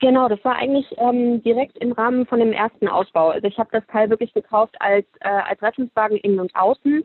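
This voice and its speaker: This woman has a plain, everyday voice pitched fairly high. She talks at a fairly quick pace with ordinary pitch variation. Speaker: fashion entrepreneur. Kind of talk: casual interview.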